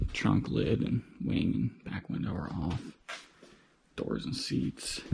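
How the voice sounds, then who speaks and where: Whispering at a very slow pace, a man is heard against noticeable background noise. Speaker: car hobbyist vlogger. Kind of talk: casual vlog narration. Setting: home garage.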